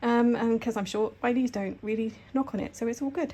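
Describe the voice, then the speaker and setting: A woman speaks at a very fast pace. Her voice has a dark, mellow tone and is somewhat breathy. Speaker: sewing vlogger. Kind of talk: casual vlog tour. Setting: living room at home. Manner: hesitant, frequent ums.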